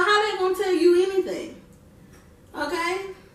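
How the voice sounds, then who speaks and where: In a room with audible echo, a woman with an extremely high pitch uses a raised, projected voice, an animated, bright and sharp tone, and a moderate pace. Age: 20s. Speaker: vlogger. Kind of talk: casual talk to camera.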